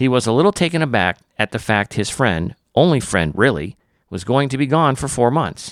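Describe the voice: Against quiet surroundings, someone does plain reading aloud, the intonation lively.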